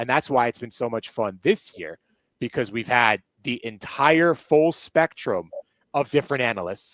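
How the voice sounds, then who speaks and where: A man at medium pitch, animated, with lively intonation and a moderate pace, in a dry, close sound with no echo and a quiet background. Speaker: sports broadcaster. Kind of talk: casual chat. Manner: loud.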